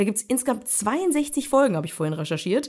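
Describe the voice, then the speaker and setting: A woman's high pitch with very wide pitch swings. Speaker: podcast host. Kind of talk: casual chat.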